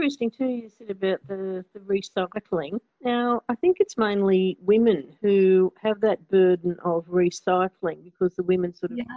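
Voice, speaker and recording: An Australian accent marks this woman's medium-pitched voice. She keeps a moderate pace with hardly any pauses. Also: ordinary pitch variation. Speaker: community radio host. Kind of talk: interview.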